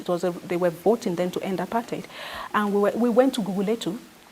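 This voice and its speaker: A woman speaks with a Nigerian accent over music in the background. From Nigeria, Niger Delta. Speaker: activist and former journalist. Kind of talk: interview. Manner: halting, with many repetitions.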